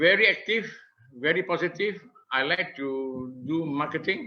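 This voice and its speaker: With lively intonation, a man talks in a fairly high pitch with a bright, sharp tone. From Malaysia, Malacca. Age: 70s. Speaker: retired marketing professional. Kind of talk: presentation.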